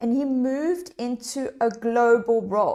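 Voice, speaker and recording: An animated, high-pitched woman with a South African accent and ordinary pitch variation. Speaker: leadership coach. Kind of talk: live online workshop. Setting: livestream.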